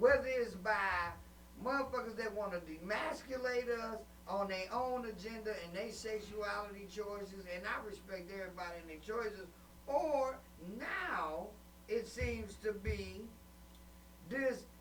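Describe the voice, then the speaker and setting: Amid noticeable background noise and audible room echo, a man with a high pitch and an animated tone talks fairly slowly with ordinary pitch variation and long, frequent pauses. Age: 50s. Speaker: webcast host and comedian. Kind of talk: casual chat.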